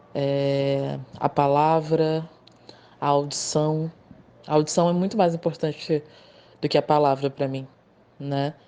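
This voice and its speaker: A woman's very deep, low voice with a dark, mellow tone, monotone, flat intonation, a very slow pace and long, frequent pauses. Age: 30s. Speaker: poet and motorcycle courier. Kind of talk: interview.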